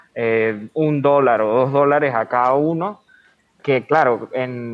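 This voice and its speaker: With music in the background, a man speaks at a fairly high pitch with ordinary pitch variation. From Venezuela. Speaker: podcast host. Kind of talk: casual interview.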